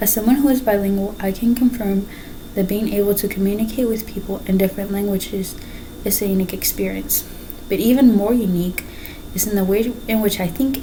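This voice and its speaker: A woman speaks fairly quickly at a medium pitch, her intonation fairly even. Noticeable background noise and audible room echo surround her. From Mexico. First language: Spanish. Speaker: student. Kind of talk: class speech. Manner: halting.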